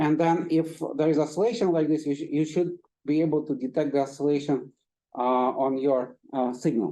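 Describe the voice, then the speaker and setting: A man talks with a dark, mellow tone. His pitch is fairly high, with ordinary variation. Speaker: physics professor. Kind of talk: lecture. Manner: halting; fast.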